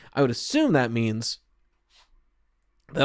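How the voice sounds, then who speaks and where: A man at a medium pitch and fairly quick pace, in a very clean recording with a silent background. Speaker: gaming lore podcaster. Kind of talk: solo podcast, answering listener questions. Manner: fast.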